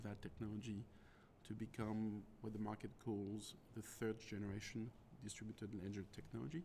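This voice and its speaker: A man speaks at a fairly low pitch. He has a French accent. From France. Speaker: tech executive. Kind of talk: interview.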